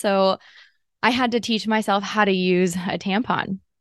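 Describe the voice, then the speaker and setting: With an American accent and an ordinary speaking voice, a woman of medium pitch talks at a moderate pace in a dry, close sound with no echo and a quiet background. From Southern California, Los Angeles. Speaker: pelvic physical therapist and podcast host. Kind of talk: solo podcast monologue, personal storytelling.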